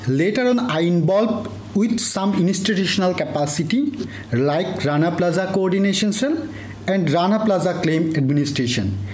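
The speaker has a Bengali accent, lively intonation and a moderate pace, with very even loudness. Noticeable background noise and audible room echo are present. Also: man, high pitch for a man. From Bangladesh, Cox's Bazar. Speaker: PhD researcher and former compensation program worker. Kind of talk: interview.

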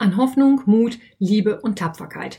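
A woman's somewhat breathy, fairly high-pitched voice with lively intonation and a slight Westphalian accent. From Westphalia, Germany. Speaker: podcast host and yarn shop owner. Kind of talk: casual solo podcast monologue.

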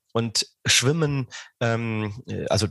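Against a quiet background, a man speaks at a medium pitch, with a dry, close sound and no echo. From southern Rhineland, Germany. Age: 40s. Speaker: sports scientist, professor. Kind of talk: interview. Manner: hesitant, many fillers.

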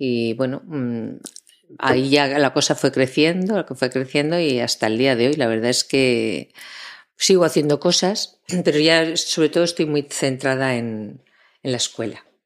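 This woman has a very deep, low pitch with ordinary pitch variation. She speaks at a fairly slow pace. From Spain, Zaragoza. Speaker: voice actress and voice-over teacher. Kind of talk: interview.

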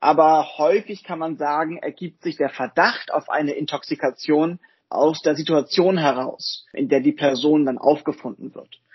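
Fairly high in pitch for a man, this male voice is an unremarkable speaking voice with fairly even intonation. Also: moderate pace. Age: 20s. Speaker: physician and volunteer medical lead. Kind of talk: podcast interview.

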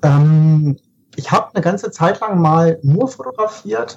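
This man's voice has a dark, mellow tone. His pitch runs fairly high. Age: 30s. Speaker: photographer. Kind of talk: casual chat.

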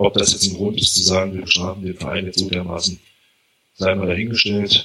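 The speaker is a man with a fairly low pitch. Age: 30s. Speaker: football fan. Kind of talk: casual chat.

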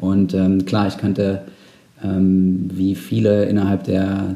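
A man with a fairly low voice speaks with fairly even intonation. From Saxony-Anhalt, eastern Germany. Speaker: amateur cyclist and team founder. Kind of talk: casual interview. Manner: hesitant with fillers.

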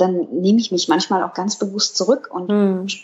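At a moderate pace, a woman with a medium pitch speaks in an ordinary speaking voice. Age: 30s. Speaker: dog blogger, office clerk. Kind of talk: casual interview. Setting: indoors.

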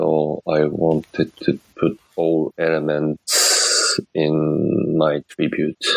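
The delivery is very slow with hardly any pauses, in a monotone, flat intonation at very even loudness. The sound is dry and close, with no echo. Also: man, very deep, low pitch for a man. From Japan. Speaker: car designer. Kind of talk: interview. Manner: halting.

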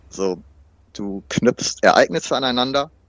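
Against a quiet background, a man talks at a moderate pace with medium pitch and ordinary pitch variation. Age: 30s. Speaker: fitness trainer and student with washing compulsion. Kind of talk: interview about personal experience. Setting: remote recording.

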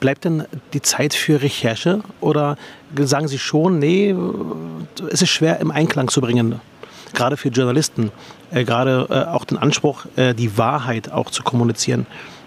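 A man with a fairly high pitch talks at a moderate pace with ordinary pitch variation, long and frequent pauses, and noticeable background noise. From Berlin. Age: 40s. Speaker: politician and podcast host. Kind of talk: interview. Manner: halting.

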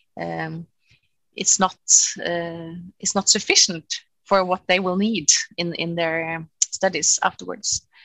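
Very slowly and in a flat monotone, a woman with a Norwegian accent speaks at a fairly low pitch, leaving long, frequent pauses. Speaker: cellist and music professor. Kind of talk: interview. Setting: video call.

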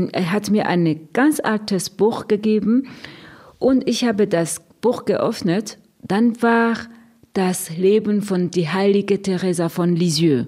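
A woman talks at a very slow pace in a medium-pitched voice with a dark, mellow tone. Her loudness stays very even, and her pitch varies in an ordinary way. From Burundi. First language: Kirundi or French, not German (speaking German). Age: 50s. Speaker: nun, head of a religious order. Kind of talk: radio interview. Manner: halting, with fillers.

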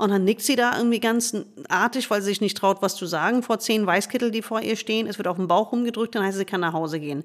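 A woman speaks very fast at a fairly high pitch. Her pitch varies in an ordinary way. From United States. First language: English (speaking German). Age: 50s. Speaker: gynecologist and author. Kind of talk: interview conversation.

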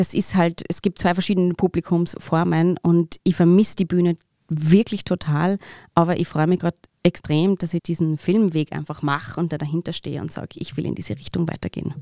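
A woman speaks at a moderate pace with a fairly low pitch and a dark, mellow tone, her intonation fairly even. The sound is dry and close with no echo, on a very clean recording with a silent background. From Austria, Upper Austria (Mühlviertel). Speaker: actress. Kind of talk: interview.

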